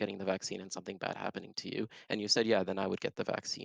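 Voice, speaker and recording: In a quiet background with a dry, close sound and no echo, a man with an Arabic accent talks at a fairly low pitch in a flat, monotone way. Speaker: online debater in a voice chat. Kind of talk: heated debate. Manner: halting.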